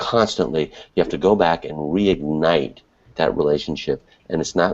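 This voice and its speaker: The voice carries vocal fry and ordinary pitch variation. It moves at a moderate pace. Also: man, very deep, low pitch for a man. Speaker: webinar co-host, internet marketer. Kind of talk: casual panel discussion. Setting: online video hangout from an apartment at night. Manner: quiet, hushed.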